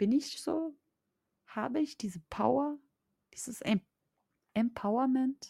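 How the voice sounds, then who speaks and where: With a dry, close sound and no echo, a woman speaks very slowly in a dark, mellow, somewhat breathy tone with ordinary pitch variation. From Austria. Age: 20s. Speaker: mindset coach. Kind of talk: podcast monologue.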